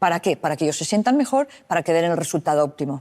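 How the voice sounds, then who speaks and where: Fairly low in pitch, a woman talks at a very fast pace. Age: 60s. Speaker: psychologist. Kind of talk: interview.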